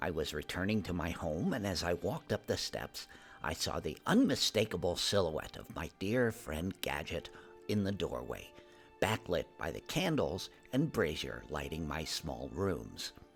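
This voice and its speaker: Over clear music in the background, a man uses a put-on character voice with a very deep, low pitch at a moderate pace. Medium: read story. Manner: gentle, hesitant.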